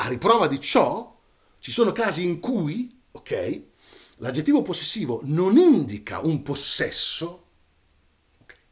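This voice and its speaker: Pitch swings very widely and loudness rises and falls a lot. Delivery is fairly slow, with long, frequent pauses. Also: man, high pitch for a man. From Italy, Romagna (Cesena); Italy. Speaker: storyteller. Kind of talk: casual monologue to camera. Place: home room.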